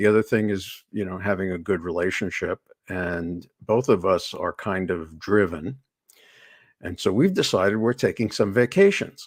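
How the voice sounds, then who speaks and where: A man's fairly low-pitched voice at a moderate pace with fairly even intonation, a normal speaking voice. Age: 60s. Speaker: executive coach. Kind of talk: interview. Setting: live online show.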